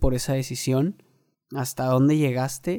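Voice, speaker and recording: In a dry, close recording with no echo, a man with a fairly high pitch and a dark, mellow tone talks at a fairly slow pace with fairly even intonation. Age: 20s. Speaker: podcaster. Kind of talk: personal monologue. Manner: casual, filler-heavy.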